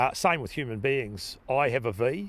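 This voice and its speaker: A man with a New Zealand accent and ordinary pitch variation, in a very clean recording with a silent background. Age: 60s. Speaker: farmer. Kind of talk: interview.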